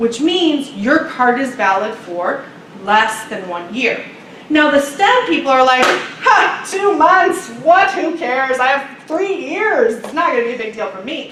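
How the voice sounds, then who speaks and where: Against noticeable background noise and audible room echo, a woman speaks at a fairly slow pace in a high pitch, with very wide pitch swings and big swings in loudness. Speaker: international student advisor. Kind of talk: workshop presentation.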